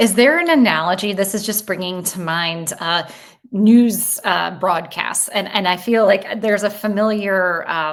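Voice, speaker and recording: Against noticeable background noise, a woman with an American accent speaks at medium pitch. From US Midwest. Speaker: podcast host. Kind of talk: interview conversation.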